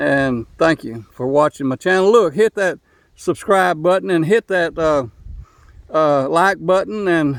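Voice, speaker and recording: Lively intonation at a fairly slow pace, in an East Texas accent. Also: man, fairly high pitch for a man, dry, close sound with no echo. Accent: Southern US (East Texas). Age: 70s. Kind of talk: casual video monologue. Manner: repetitive, stumbling restarts.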